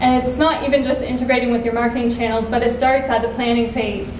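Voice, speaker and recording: A woman talks at a high pitch. Light background noise and audible room echo are present. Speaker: nonprofit social media manager. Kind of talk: conference talk. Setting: stage with audience. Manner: soft-spoken. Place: stage. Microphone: camera far.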